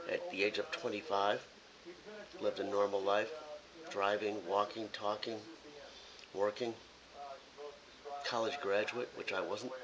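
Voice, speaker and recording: Pausing long and often, a man with an American accent speaks at a fairly slow pace with ordinary pitch variation over noticeable background noise. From US Midwest, Chicago suburbs (Illinois). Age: 60s. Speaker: political vlogger. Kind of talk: casual monologue to camera. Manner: blunt.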